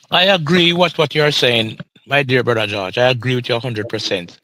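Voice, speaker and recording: Lively intonation marks this man's medium-pitched voice in a Jamaican accent. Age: 60s. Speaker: retired pension claimant. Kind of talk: live podcast interview.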